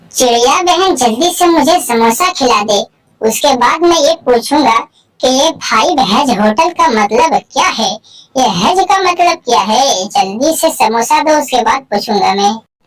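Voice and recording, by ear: A woman uses a cartoonish character voice with a high pitch and very wide pitch swings. She keeps a moderate pace and very even loudness.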